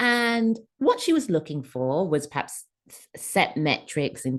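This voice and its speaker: A woman with an English accent speaks at a medium pitch, her voice making very wide pitch swings. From England. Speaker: career coach and author. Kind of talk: podcast interview answer.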